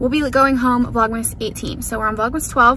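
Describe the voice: A woman speaks at a moderate pace, her pitch fairly high and her intonation fairly even. Room echo is audible around her.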